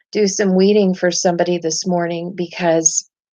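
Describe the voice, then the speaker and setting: Over music in the background, a woman talks at a moderate pace with a medium pitch. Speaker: spiritual live streamer. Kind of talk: live stream chat. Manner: halting.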